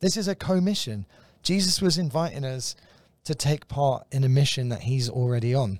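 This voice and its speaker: With a London accent, a somewhat breathy man with a fairly high pitch talks on a very clean recording against a silent background. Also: lively intonation, moderate pace. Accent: British, London. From London, England. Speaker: guest, visiting ministry worker. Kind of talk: casual conversational teaching. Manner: light-hearted, jokey.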